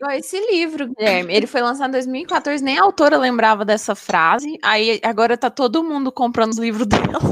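A woman speaks at a high pitch and a fairly quick pace with lively intonation and hardly any pauses. Noticeable background noise can be heard. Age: 20s. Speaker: podcast co-host, student. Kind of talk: casual chat.

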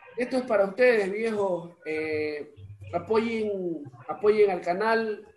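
Over noticeable background noise, a man with a high pitch and ordinary pitch variation talks at a very slow pace. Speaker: podcast host and musician. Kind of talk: casual interview chat. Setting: home recording.

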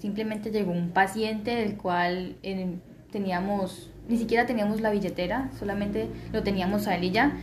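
The woman's fairly slow delivery carries an audible room echo. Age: 20s. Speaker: surgeon. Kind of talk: testimony.

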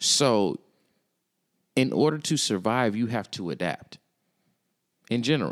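The speech moves fairly slowly with lively intonation and long, frequent pauses. Music plays in the background. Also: man, medium pitch for a man. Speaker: podcast co-host. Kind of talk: casual chat.

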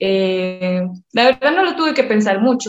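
Speaking at a fairly slow pace, a woman has a normal speaking voice with a fairly high pitch. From Colombia, Medellín. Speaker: professional MMA fighter. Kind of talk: interview.

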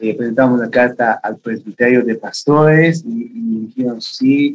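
A man speaks at a fairly slow pace with fairly even intonation. His pitch is medium, and it's a plain, everyday voice. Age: 30s. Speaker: youth pastor. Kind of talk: interview.

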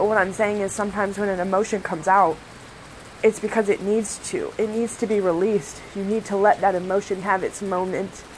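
A woman speaks at a fairly quick pace in a monotone with flat intonation. Noticeable background noise runs under her voice. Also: medium pitch for a woman. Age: 20s. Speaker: Reiki practitioner. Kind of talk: casual monologue. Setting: live stream.

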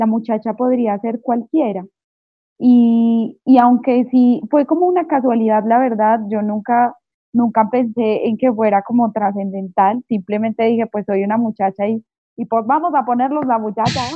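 A woman speaks at a fairly slow pace with ordinary pitch variation. She has a normal speaking voice. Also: fairly high pitch for a woman. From Colombia, Manizales. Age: 20s. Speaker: singer-songwriter. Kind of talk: interview. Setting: remote call.

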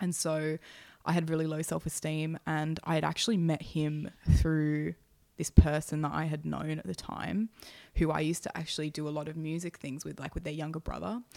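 A woman with an Australian accent talks at a fairly quick pace in a very deep, low pitch, captured in a very clean recording with a silent background. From Sydney, Australia. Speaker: former hospital nurse. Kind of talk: casual chat.

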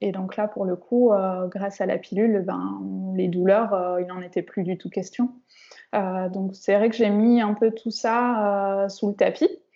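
Medium-pitched woman's voice at a very slow pace. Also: fairly even intonation. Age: 30s. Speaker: sophrologist, endometriosis patient. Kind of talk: interview, personal testimony. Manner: hesitant, many fillers.

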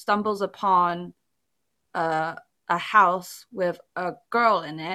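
Speaking in a British accent, a woman has a medium pitch and a bright, sharp tone on a very clean recording with a silent background. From England, Chinese family. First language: Chinese. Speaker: podcast host. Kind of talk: casual chat.

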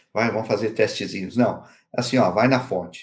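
An ordinary speaking voice from a man at medium pitch, fairly quick in pace, with fairly even intonation. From Curitiba, southern Brazil. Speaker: HR director and speaker. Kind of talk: interview conversation.

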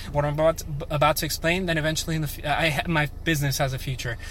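A man's fairly high voice, fairly quick and fairly even in intonation, over noticeable background noise. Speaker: vlogger. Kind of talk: casual monologue video diary. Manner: fast; halting, many fillers.

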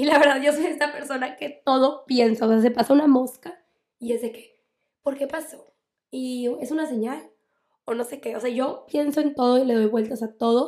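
A high-pitched woman's voice with fairly even intonation, at a moderate pace. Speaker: psychologist and podcast host. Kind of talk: solo podcast advice talk. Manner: loud.

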